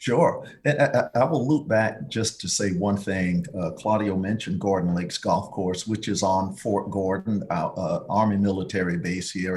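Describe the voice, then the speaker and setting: A man with a slight Southern accent, a fairly low pitch, ordinary pitch variation and a moderate pace. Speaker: tourism bureau executive. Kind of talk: podcast interview. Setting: studio.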